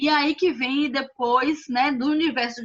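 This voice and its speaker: The woman's voice has a bright, sharp tone. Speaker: finance consultant. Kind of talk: online presentation. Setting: video call.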